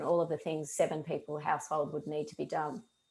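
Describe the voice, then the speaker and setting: This woman speaks with an Australian accent. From Australia (Melbourne). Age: 40s. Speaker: mental health speaker. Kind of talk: talk to a group.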